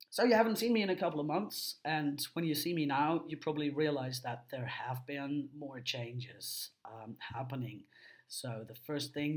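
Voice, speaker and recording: A somewhat breathy voice at a moderate pace, with ordinary pitch variation, big swings in loudness and hardly any pauses. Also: man. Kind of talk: personal video diary. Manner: hesitant, many fillers.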